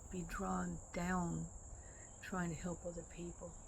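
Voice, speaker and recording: Fairly slow speech with audible room echo. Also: woman. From Michigan, Detroit. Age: 80s+. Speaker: vlogger. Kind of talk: personal monologue. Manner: halting.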